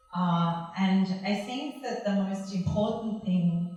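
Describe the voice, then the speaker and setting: Audible room echo surrounds a woman's voice. She speaks very slowly with fairly even intonation. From Australia. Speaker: art conservator. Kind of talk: lecture. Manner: loud.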